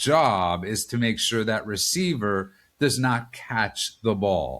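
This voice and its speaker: A man with a New York accent speaks at a very slow pace. His pitch is fairly low. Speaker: political podcast host. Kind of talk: casual political discussion.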